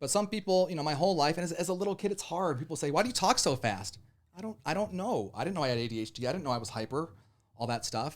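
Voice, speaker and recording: Speaking very fast with vocal fry, a man with a fairly high pitch and an American accent lets his pitch swing very widely. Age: 40s. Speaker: radio DJ. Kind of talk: casual chat. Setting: studio. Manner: animated.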